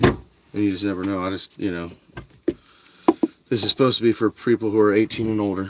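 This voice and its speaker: Delivery is very fast yet broken by long, frequent pauses, with noticeable background noise. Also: man. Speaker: fishing livestreamer. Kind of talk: live stream chat while fishing. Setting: outdoors by a canal, live stream. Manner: casual, filler-heavy.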